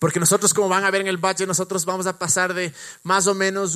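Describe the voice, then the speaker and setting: This is a man speaking. His pitch is high. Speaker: pastor. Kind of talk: church service interview; sermon.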